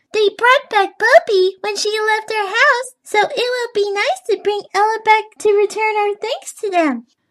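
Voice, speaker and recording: A put-on character voice speaks at an extremely high pitch. It sounds squeaky and keeps a moderate pace. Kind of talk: children's story character voices. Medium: read story. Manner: tearful.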